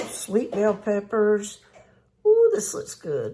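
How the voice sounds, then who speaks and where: The speaker has a Southern US accent. The pace is very slow. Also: woman. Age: old. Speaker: cooking channel host. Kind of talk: cooking tutorial. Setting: home kitchen. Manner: chatty, folksy.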